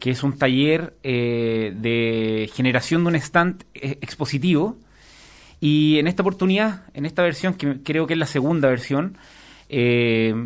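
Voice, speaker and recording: A man with a Chilean accent talks at a fairly slow pace with lively intonation. It is a very clean recording, silent background. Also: fairly high pitch for a man. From southern Chile. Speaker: master's student, trained lawyer. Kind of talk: radio interview. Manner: hesitant, many fillers.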